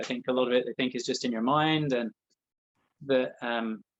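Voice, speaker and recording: A fairly quick pace with fairly even intonation, in a southeast English accent. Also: man. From southeast England, Essex. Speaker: energy healer and spiritual guide. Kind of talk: interview. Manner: talkative.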